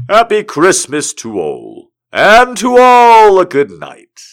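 A man puts on a character voice with a high pitch. He speaks at a very slow pace, and his pitch swings very widely. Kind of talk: warm, merry. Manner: jolly.

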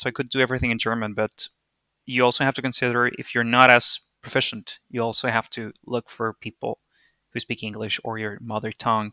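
A man with a Spanish accent speaks at a fairly quick pace in a flat monotone, his bright, sharp tone captured in a very clean, dry, close recording with no echo and a silent background. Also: medium pitch for a man. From Venezuela. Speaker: interview guest. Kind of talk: casual interview chat. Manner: hesitant, with fillers.

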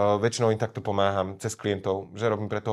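A man with a fairly low voice speaks at a very fast pace over a quiet background. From Slovakia, Orava region. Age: 30s. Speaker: Instagram comedian. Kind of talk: casual interview.

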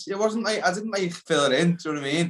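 A very fast-talking man with a Liverpool accent, high pitch, and ordinary pitch variation. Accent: Liverpool (Scouse). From Liverpool, England. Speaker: actor and playwright. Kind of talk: casual chat.

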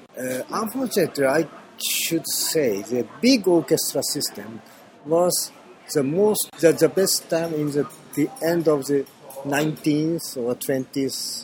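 Music plays behind a man speaking at a fairly slow pace. His fairly high voice has lively intonation. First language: Japanese. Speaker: orchestra conductor. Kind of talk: interview. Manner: halting.

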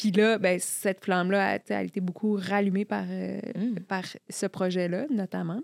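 A woman talks at a fairly slow pace with medium pitch and fairly even intonation, in an ordinary speaking voice. The recording is very clean with a silent background, and the sound is dry and close with no echo. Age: 40s. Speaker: journalist and columnist. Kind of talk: casual chat.

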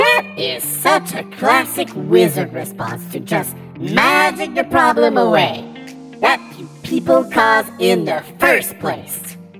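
A put-on character voice over clear music in the background. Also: fairly slow pace. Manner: earnest, then exasperated.

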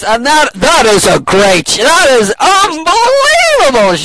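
A man uses a put-on character voice at an extremely high pitch, swinging very widely in pitch at a fairly slow pace over clear background noise. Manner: loud, booming.

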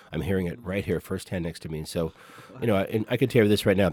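Man with an American accent, very deep, low pitch and ordinary pitch variation. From California. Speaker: jazz trumpet player. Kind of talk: interview. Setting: studio.

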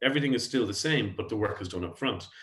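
A man speaks in an Irish accent. His voice is somewhat breathy, with ordinary pitch variation. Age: 40s. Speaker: tech company founder and CEO. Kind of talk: podcast interview. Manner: halting, frequent repetitions.

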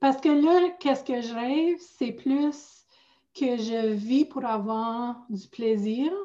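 A woman with an Ontario accent, high pitch, a dark, mellow tone, a very slow pace and ordinary pitch variation. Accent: Franco-Ontarian. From northern Ontario, near Sudbury. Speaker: life coach. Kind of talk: casual chat. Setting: video call.

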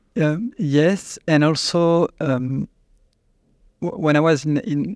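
The recording is very clean, its background silent. In it, a man talks with a French accent. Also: dry, close sound with no echo. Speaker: company CEO. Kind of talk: interview answers. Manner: halting, hesitant.

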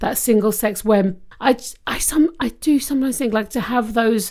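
On a very clean recording with a silent background, a woman with a British accent and a fairly high pitch talks at a moderate pace. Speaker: podcast co-host. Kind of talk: casual chat.

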